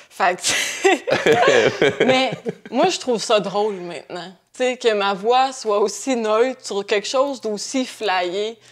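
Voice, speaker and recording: In a Quebec accent, a woman with a fairly high pitch speaks at a very slow pace with lively intonation. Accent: Québécois French. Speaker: painter. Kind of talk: podcast interview. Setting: at her home. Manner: calm.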